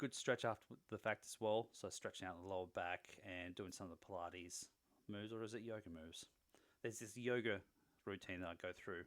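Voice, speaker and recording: Speaking at a fairly quick pace with an Australian accent, a man with a fairly low pitch shows ordinary pitch variation and big swings in loudness. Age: 40s. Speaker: fitness vlogger. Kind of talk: video diary. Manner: casual.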